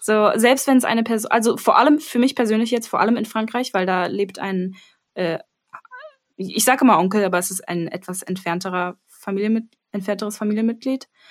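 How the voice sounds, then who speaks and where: A woman with an unremarkable speaking voice, fairly high in pitch. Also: ordinary pitch variation. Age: 20s. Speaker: music education student. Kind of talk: casual chat.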